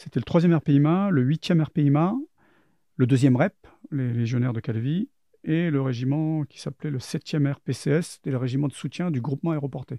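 A man's fairly high voice carries ordinary pitch variation and moves at a moderate pace. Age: 50s. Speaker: former intelligence agent and soldier. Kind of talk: testimony. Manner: halting.

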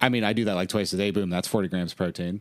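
A man talking at a very fast pace in a very clean recording with a silent background. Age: 30s. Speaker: stand-up comedian. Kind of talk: casual chat.

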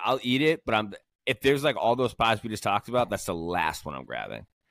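On a very clean recording with a silent background and a dry, close sound with no echo, a man speaks at a fairly quick pace and a medium pitch. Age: 30s. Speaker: motorcycle podcast co-host, pinstriper. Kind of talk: casual chat. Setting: garage. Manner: animated.

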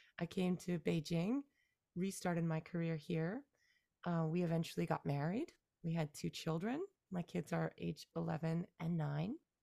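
A woman with a plain, everyday voice speaks at a moderate pace and very even loudness, her pitch fairly low with ordinary variation, in a dry, close sound with no echo. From Canada. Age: 40s. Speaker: musician and songwriter. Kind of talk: casual interview. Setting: remote call from Beijing.

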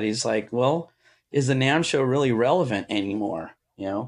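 A man with an American accent speaks at a moderate pace in an unremarkable speaking voice, pitched at a medium level, against a quiet background. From Southern California. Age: 50s. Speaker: guitar pedal maker and musician. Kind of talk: casual chat.

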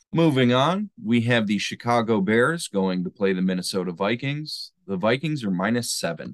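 In a dry, close recording with no echo and a quiet background, a man with a plain, everyday voice talks at a moderate pace and medium pitch, with lively intonation and hardly any pauses. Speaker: sports betting podcast host. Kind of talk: casual chat.

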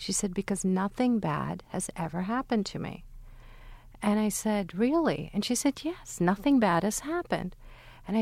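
A woman's ordinary speaking voice at medium pitch and a moderate pace. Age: 40s. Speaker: neurologist and memory researcher. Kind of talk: panel discussion.

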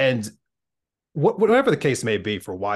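This man speaks with an American accent. His pace is very fast. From Philadelphia area. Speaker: podcast host. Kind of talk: casual chat.

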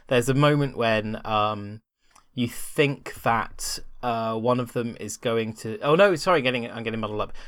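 At a moderate pace, a man speaks in an ordinary speaking voice with ordinary pitch variation, on a very clean recording with a silent background. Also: medium pitch for a man. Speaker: former site writer turned guest. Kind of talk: casual chat.

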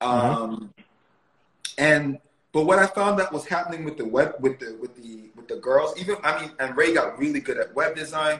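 A man talks at a moderate pace in a normal speaking voice, pitched fairly high. His loudness swings widely from moment to moment. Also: lively intonation. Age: 30s. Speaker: media producer and entrepreneur. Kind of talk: casual interview.

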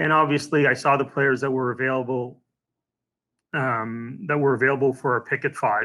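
A man with an unremarkable speaking voice talks at a moderate pace and a medium pitch, with fairly even intonation. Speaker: hockey team executive. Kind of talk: casual interview.

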